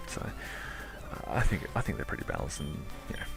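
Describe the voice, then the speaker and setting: A man whispers at a fairly quick pace. Music plays in the background. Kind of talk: casual talk to camera. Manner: whispery, sultry.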